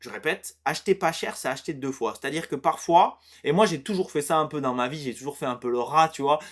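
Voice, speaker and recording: The recording is very clean, with a silent background. A man talks at a fairly quick pace with a fairly high pitch and ordinary pitch variation. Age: 30s. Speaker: fitness coach. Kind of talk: casual tutorial monologue. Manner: hesitant, many fillers and repetitions.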